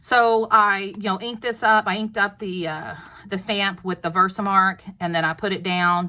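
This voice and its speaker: A woman's bright, sharp voice with a Texas accent and fairly even intonation. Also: medium pitch for a woman, moderate pace. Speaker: craft video maker. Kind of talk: tutorial. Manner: casual, chatty with fillers.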